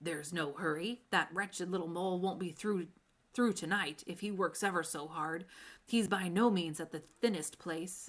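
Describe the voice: A female-sounding, put-on character voice, raspy and middle-pitched, moves at a moderate pace. The recording is very clean with a silent background.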